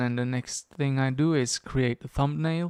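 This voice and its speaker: Against a quiet background, a man speaks at a fairly slow pace and medium pitch with ordinary pitch variation, and the sound is dry with no echo. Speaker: YouTube tutorial creator. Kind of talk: screen-recorded editing walkthrough. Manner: casual, thinking aloud.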